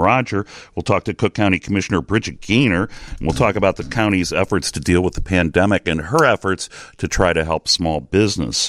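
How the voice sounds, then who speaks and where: Lively intonation marks a man speaking at a moderate pace. The sound is dry and close, with no echo. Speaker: radio political talk show host. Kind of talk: radio interview show. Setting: radio studio.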